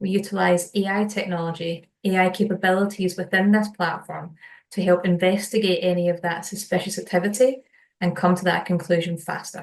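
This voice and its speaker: In a Scottish accent, a woman talks fairly quickly at a medium pitch, her intonation monotone and flat. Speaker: solutions engineer. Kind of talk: webinar product presentation.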